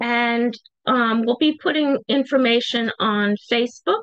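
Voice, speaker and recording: A woman speaks at a high pitch with ordinary pitch variation, the sound dry with no echo and the background quiet. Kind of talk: interview answer. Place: home room. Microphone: video call.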